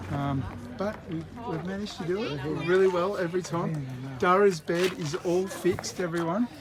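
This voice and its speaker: Quietly and at a high pitch, a man speaks with ordinary pitch variation over noticeable background noise. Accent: Australian. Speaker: independent news channel host. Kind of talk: casual live vlog chat. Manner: speaking quietly.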